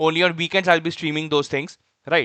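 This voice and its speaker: This man, with an Indian accent, talks at a fairly quick pace in a high pitch with a bright, sharp tone, and the sound is dry and close with no echo. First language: Hindi. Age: 20s. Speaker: software developer streamer. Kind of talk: live coding stream chat. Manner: hesitant, many fillers.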